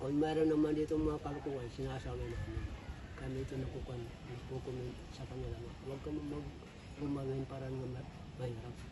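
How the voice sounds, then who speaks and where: Very fast speech with audible room echo and noticeable background noise. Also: man. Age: 60s. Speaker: cemetery caretaker. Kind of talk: interview.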